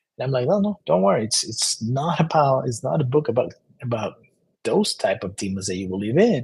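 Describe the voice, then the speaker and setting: Somewhat breathy and medium in pitch, a man speaks at a fairly quick pace with very wide pitch swings. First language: Spanish. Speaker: self-help author. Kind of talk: book presentation monologue. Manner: halting, many repetitions and fillers.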